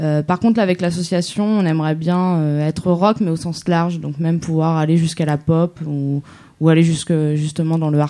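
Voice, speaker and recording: Fairly even intonation at a moderate pace. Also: woman. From Germany. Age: 20s. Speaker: concert promoter, runs an association. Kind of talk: casual interview. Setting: live radio in a cabaret with audience.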